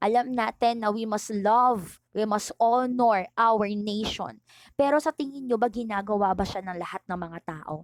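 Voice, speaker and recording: A woman with a normal speaking voice talks at a fairly slow pace in a fairly high pitch, with ordinary pitch variation. The sound is dry and close, with no echo. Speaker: teacher. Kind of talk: online lecture. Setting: recorded online video lesson.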